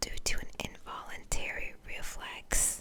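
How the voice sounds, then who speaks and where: A whisper comes through. Its pace is very slow. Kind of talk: whispered ASMR fun-facts narration over gameplay. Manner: whispered, soft.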